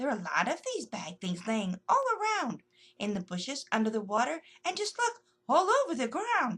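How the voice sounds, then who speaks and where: Using a put-on character voice, a woman speaks high in pitch at a moderate pace. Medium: read story.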